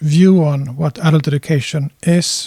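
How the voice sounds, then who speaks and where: Man with a Swedish accent, a dark, mellow tone and fairly high pitch, fairly even intonation at a fairly slow pace, in a dry, close sound with no echo. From Finland. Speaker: adult educator. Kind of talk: lecture.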